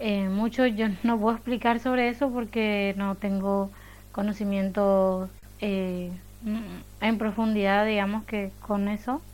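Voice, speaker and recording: On a very clean recording with a silent background, a woman of medium pitch speaks at a very slow pace in a monotone, flat intonation. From Paraguay. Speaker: university student. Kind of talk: round table talk.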